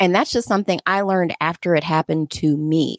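With an American accent, a woman speaks in fairly even intonation on a very clean recording with a silent background. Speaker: panelist. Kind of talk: panel discussion, friendly debate.

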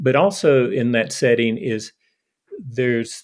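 With an American accent, a man uses a normal speaking voice at medium pitch with ordinary pitch variation over a quiet background. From eastern Kentucky, US. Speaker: physician. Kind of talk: interview.

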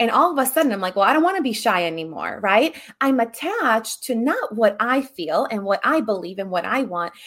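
Fairly quick and with hardly any pauses, a woman speaks at a fairly high pitch with very wide pitch swings. Noticeable background noise is present. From Serbia, moved to US at 10. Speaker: embodiment coach. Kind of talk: interview.

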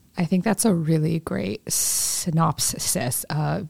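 A woman speaks very slowly in a very deep, low voice with a dark, mellow tone and vocal fry. The sound is dry and close, with no echo. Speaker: global health strategist, guest interviewer. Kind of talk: casual interview conversation. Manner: halting, stumbling speech.

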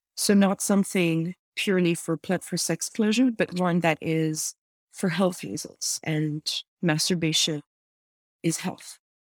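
Speaking at a fairly slow pace, a woman uses a fairly low pitch and fairly even intonation, recorded very cleanly against a silent background with a dry, close sound and no echo. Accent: Lebanese. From Lebanon. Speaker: graphic designer and activist. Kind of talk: casual interview. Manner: halting, many fillers and repeats.

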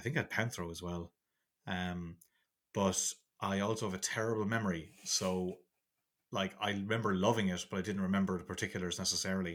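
Very deep and low, a man's voice with an Irish accent moves at a fairly quick pace broken by long, frequent pauses, on a very clean recording with a silent background. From Ireland. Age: 40s. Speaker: comic book artist and writer. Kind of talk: casual chat.

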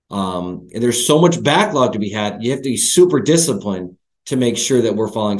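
Lively intonation colors what is otherwise an unremarkable speaking voice. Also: man. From US Northeast. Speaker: company CEO. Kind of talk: interview.

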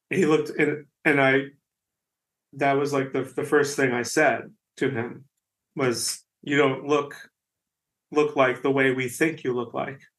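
A man with a fairly high pitch talks at a fairly slow pace in a monotone with flat intonation, leaving long, frequent pauses. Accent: American. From Long Island, New York. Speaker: author. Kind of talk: interview.

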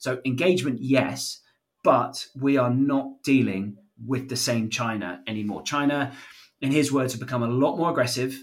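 A man's unremarkable speaking voice, medium pitch, moderate pace. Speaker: podcast co-host. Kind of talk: casual policy discussion.

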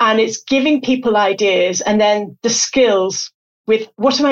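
A woman at medium pitch with a British accent. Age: 60s. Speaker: company CEO. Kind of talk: interview. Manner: animated.

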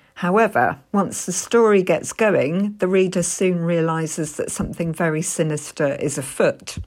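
In a very clean recording with a silent background, a woman with a plain, everyday voice speaks at a fairly slow pace and medium pitch with ordinary pitch variation. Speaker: book reviewer. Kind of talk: prepared book recommendation.

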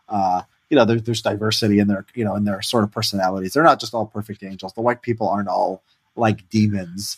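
A man's fairly low voice in a Chicago accent, very fast, with fairly even intonation and a dry, close sound with no echo. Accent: Chicago-area American. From Chicago south suburbs, US Midwest. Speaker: podcast host. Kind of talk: casual chat.

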